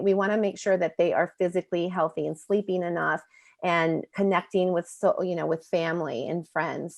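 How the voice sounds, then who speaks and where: A woman has an unremarkable speaking voice with a fairly low pitch. She keeps a moderate pace and fairly even intonation. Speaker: presenter from a media education nonprofit. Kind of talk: bilingual webinar presentation. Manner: switches between English and Spanish.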